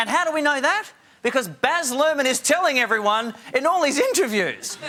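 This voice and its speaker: A man speaks in a raised, projected voice at an extremely high pitch. His pitch swings very widely. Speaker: talk show host. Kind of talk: stand-up style TV monologue. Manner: jokey, conversational.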